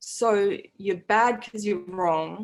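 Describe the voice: The speaker reads aloud plainly. Pitch moves with ordinary variation.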